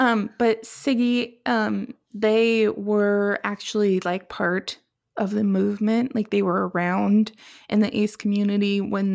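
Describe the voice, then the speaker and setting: A woman is speaking in a normal speaking voice. She talks with an American accent. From Seattle, US Pacific Northwest. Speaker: podcast co-host. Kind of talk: casual chat. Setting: remote recording in her kitchen.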